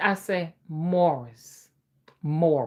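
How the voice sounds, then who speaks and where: A woman is talking. Her speech carries an American accent. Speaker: spiritual reader and folk magic practitioner. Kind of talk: casual chat. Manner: animated.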